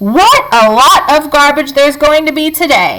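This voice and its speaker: A woman uses a put-on character voice, high in pitch, with lively intonation. She keeps a moderate pace and very even loudness. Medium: read story. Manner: pompous, blustering.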